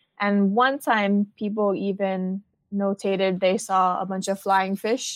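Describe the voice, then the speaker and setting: A woman speaks with a Hawaiian accent over a quiet background. The sound is dry and close, with no echo. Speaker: marine outreach coordinator. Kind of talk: interview.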